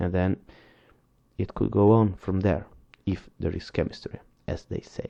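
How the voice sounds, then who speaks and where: Speaking with a non-native accent, a man uses a fairly low pitch and a dark, mellow tone, moving at a fairly slow pace with fairly even intonation. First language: not English. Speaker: book reviewer. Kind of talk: reading aloud with commentary. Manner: halting.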